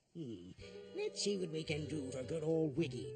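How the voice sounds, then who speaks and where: With music in the background, a cartoonish character voice speaks at a middle pitch. Its tone is warm and its pace moderate. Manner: warm, jovial, chuckling.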